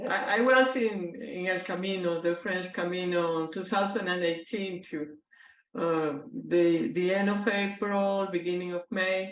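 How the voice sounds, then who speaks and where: Audible room echo follows a woman as she talks fairly slowly. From Venezuela. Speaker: service participant. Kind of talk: casual sharing in a group.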